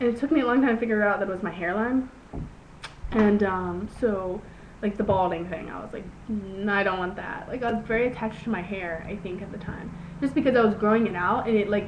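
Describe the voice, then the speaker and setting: Amid audible room echo and noticeable background noise, a woman talks very fast at a medium pitch, with ordinary pitch variation and big swings in loudness. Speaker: video blogger. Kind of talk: casual vlog monologue. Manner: halting, many fillers.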